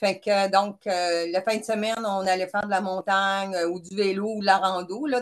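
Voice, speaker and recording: A woman speaks with a Quebec accent and fairly even intonation. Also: hardly any pauses. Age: 60s. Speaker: retired chemist, person with type 1 diabetes. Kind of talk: interview. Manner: hesitant, many fillers.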